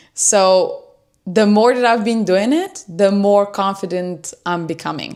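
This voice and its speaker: On a very clean recording with a silent background, a woman with a non-native accent talks at a medium pitch with fairly even intonation. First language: not English. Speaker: self-improvement YouTuber. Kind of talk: livestream talk. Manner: unscripted, hesitant with fillers.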